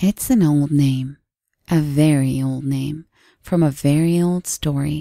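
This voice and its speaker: Putting on a character voice, a woman speaks in a very deep, low, raspy pitch at a fairly slow pace, her intonation fairly even and the sound dry and close with no echo. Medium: read story. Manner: calm, stoic, quietly persuasive.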